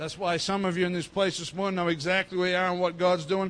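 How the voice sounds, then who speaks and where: Very fast speech in an Australian accent, delivered in a flat, monotone way. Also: man. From Australia, North Queensland. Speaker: pastor. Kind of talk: sermon. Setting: church.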